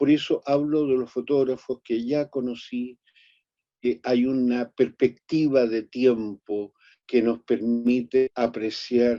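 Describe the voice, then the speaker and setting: A man with a medium pitch and a dark, mellow tone speaks at a very slow pace. The sound is dry and close, with no echo. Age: 80s+. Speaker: photographer. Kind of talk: lecture.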